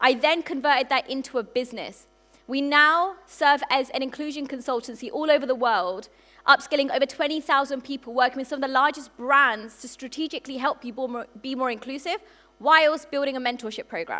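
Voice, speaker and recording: A woman's high, bright, sharp voice in a British accent, raised and projected, animated and fairly quick, with big swings in loudness and ordinary pitch variation. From UK. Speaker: entrepreneur and conference speaker. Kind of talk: conference keynote talk. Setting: stage with audience. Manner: fast when passionate; animated, engaging the audience.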